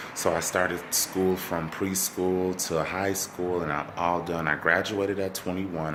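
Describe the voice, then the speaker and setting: Quietly and at a moderate pace, a man with an American accent speaks at a very deep, low pitch in a monotone, flat delivery with hardly any pauses, amid noticeable background noise and audible room echo. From Minnesota, Saint Paul. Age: 20s. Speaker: vlogger. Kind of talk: casual self-introduction vlog. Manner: halting, many fillers and repeats; kept quiet, family sleeping.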